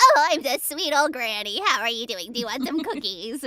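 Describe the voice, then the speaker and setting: A female-sounding voice puts on a high-pitched character voice. It moves at a moderate pace. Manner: sweet, cheerful, inviting.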